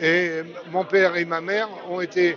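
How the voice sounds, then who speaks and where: Crowd noise fills the background as a man speaks at a high pitch. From France, Chauffailles area (Burgundy). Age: 70s. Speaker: son of a resistance fighter. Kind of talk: testimony. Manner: halting.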